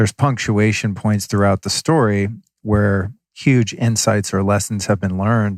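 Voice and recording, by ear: A man's voice, fairly low in pitch, with little pitch movement, a moderate pace and a dry, close sound with no echo.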